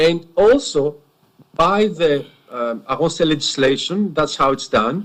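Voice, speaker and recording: A man speaks at a very slow pace with a Greek accent. His pitch is fairly high. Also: lively intonation. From Greece. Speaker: witness, former police officer. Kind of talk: cross-examination testimony. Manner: halting, repeats words.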